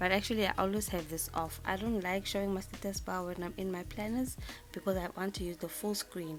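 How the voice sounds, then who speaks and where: Someone speaks with a South African accent and fairly even intonation. Music plays in the background. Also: woman. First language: isiZulu. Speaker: planner designer, YouTuber. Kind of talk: tutorial. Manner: halting, many fillers and repeats.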